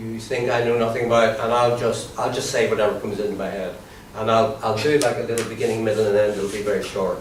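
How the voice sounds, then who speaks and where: A man with an Irish accent talks very fast at a medium pitch with fairly even intonation. Noticeable background noise runs underneath. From Ireland. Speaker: comedian and comedy trainer. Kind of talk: workshop instruction to a group.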